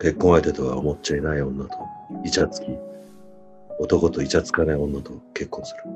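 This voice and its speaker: A man's voice moves at a moderate pace while music sits underneath. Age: 50s. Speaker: boyfriend reading romantic lines. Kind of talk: late-night radio style romantic reading. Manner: whispered, sweet. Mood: intimate, playful. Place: home room. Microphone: video call.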